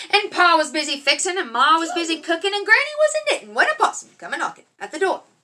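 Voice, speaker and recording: Speaking in an Appalachian accent, a woman uses a raised, projected voice at an extremely high pitch, racing along at a very fast pace with hardly any pauses, very wide pitch swings, and big swings in loudness. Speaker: parent reading to kids. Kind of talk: reading aloud. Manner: animated.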